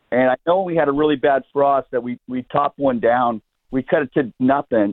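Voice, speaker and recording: A man speaks at a medium pitch and a moderate pace, with ordinary pitch variation and an unremarkable speaking voice. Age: 60s. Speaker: caller, landscaper. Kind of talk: radio call-in question. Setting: phone call. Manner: casual, talkative.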